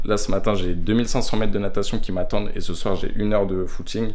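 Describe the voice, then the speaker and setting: A man's voice with audible room echo. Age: 20s. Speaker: aspiring triathlete vlogger. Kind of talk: vlog. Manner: casual.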